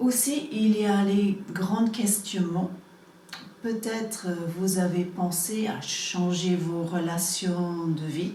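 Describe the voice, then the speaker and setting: A woman's medium-pitched voice at a very slow pace, with ordinary pitch variation, audible room echo and noticeable background noise. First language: English (speaking French). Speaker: energy healing practitioner. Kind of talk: promotional explanation to camera. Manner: halting, many hesitations.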